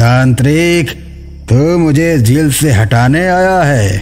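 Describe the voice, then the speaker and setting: Over clear background music, a man does a put-on character voice at a fairly high pitch and a very slow pace. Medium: read story. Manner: menacing, gloating.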